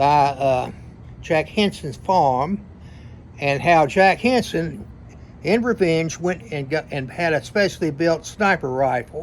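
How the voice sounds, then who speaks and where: A man with a Tennessee accent speaks at a fairly slow pace, his fairly high pitch moving in lively intonation. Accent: US Southern (Tennessee). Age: 70s. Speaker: retired attorney telling family history. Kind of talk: storytelling monologue. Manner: halting, many fillers.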